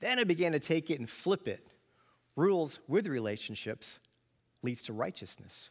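A man with an American accent talks at a fairly high pitch, with very wide pitch swings and vocal fry. He leaves long, frequent pauses in a very clean recording with a silent background. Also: moderate pace. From New York. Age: 50s. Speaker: pastor and student ministry teacher. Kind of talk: sermon. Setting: church with audience.

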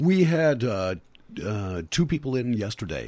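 A man with vocal fry and very wide pitch swings speaks at a moderate pace against a quiet background. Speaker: radio host. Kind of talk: radio interview. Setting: studio.

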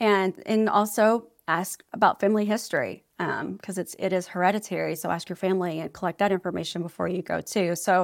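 An ordinary speaking voice from a woman, fairly quick pace and ordinary pitch variation, in a very clean recording with a silent background. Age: 40s. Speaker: ADHD advocate and healthcare consultant. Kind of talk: casual interview.

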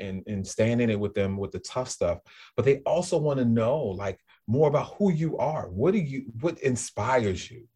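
A slight New Orleans accent against a quiet background. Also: man. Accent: little New Orleans drawl. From New Orleans, US South. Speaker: school leader. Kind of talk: casual interview.

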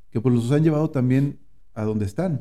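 A man with a dark, mellow tone speaks at medium pitch, his pitch varying in an ordinary way. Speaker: podcast host. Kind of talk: interview. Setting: on location in San Antonio.

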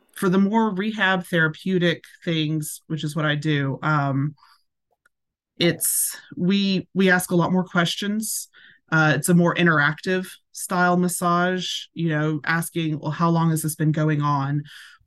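Against a quiet background, a woman with a Tennessee accent speaks at a fairly slow pace in a fairly low pitch, with fairly even intonation. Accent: Southern US (Tennessee). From US South, Tennessee. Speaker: massage therapist. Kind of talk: casual interview.

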